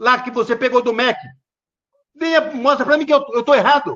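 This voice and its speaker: An angry tone comes from a man at an extremely high pitch. His pitch variation is ordinary. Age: 60s. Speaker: political commentator. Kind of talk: political rant. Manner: angry, insulting outbursts.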